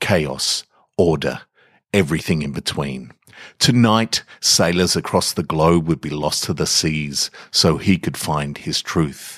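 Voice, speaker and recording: At a fairly slow pace, a man speaks with a very deep, low pitch, vocal fry and ordinary pitch variation in a dry, close sound with no echo. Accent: Australian. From Australia. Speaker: podcast host and fiction reader. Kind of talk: literary fiction reading, measured and atmospheric. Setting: home recording in a garage. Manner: slow, measured, hushed and contemplative narration.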